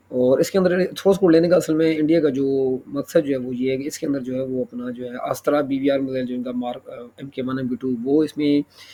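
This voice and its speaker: Against noticeable background noise, a man speaks at a moderate pace in a fairly high pitch with fairly even intonation and big swings in loudness. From Pakistan. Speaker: YouTuber, defence news commentator. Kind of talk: news commentary monologue. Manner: halting, many fillers and self-corrections.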